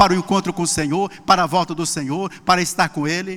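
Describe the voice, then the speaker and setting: Raised and projected, a man's high-pitched voice carries a bright, sharp tone at a fairly quick pace. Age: 60s. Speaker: pastor. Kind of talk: sermon.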